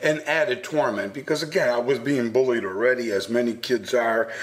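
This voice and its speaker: A medium-pitched man amid noticeable background noise. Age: 60s. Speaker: anti-bullying speaker. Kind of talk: radio interview. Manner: halting.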